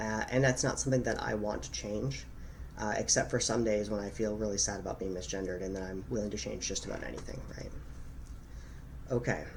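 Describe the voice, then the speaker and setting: Noticeable background noise and audible room echo surround a man's fairly low voice. He speaks at a fairly quick pace with lively intonation. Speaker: vlogger. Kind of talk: personal reflection vlog. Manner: dynamic, expressive speech pattern.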